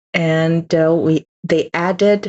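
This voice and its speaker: Speaking very slowly in a Chinese accent, a woman has a fairly low pitch. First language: Mandarin Chinese. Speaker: Chinese language teacher. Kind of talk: lecture. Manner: halting, many fillers.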